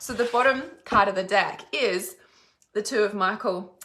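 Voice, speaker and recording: In an Australian accent, a woman speaks at medium pitch with a bright, sharp tone. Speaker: psychic reader. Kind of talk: live stream psychic reading.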